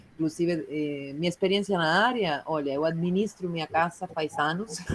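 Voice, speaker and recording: The woman's fairly low voice carries ordinary pitch variation at a moderate pace. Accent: Uruguayan. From Uruguay. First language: Spanish (speaking Portuguese). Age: 30s. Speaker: clown and juggler, workshop participant. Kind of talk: self-introduction in online workshop. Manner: hesitant, many fillers.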